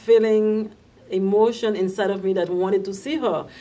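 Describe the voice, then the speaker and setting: A woman with a Haitian accent speaks at a moderate pace with fairly even intonation. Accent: Haitian Creole-accented English. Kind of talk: personal immigration story told to camera.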